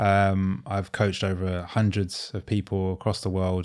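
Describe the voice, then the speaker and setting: A man speaks at a moderate pace with a very deep, low pitch. His intonation is monotone and flat. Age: 30s. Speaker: author, artist and coach. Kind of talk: casual chat. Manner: halting.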